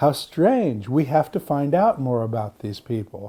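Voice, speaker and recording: A man with an American accent has a dark, mellow tone. The recording is very clean, with a silent background. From US Pacific Northwest (Seattle). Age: 60s. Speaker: Orthodox monk and translator. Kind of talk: interview.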